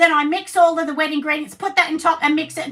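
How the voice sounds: This woman's high voice is husky, with a bright, sharp tone.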